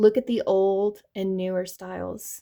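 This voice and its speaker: In a slight Southern US accent, a woman speaks at a fairly slow pace with a medium pitch and a dark, mellow tone. Her intonation is fairly even, and the recording is very clean with a silent background. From US South. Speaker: tarot reader. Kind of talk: tarot reading monologue.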